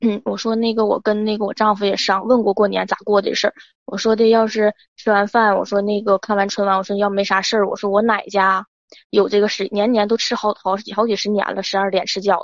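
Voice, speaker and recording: A woman talking at a very fast pace, in a dry, close sound with no echo. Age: 20s. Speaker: caller. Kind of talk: advice call-in, personal story. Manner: halting, repetitive.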